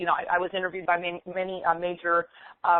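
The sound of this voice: The speaker is a woman with an American accent. The sound is dry and close, with no echo.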